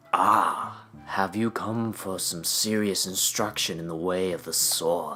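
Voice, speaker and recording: Someone uses a put-on character voice with a low pitch. The pace is fairly slow, and background noise is clear. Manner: wise, serious.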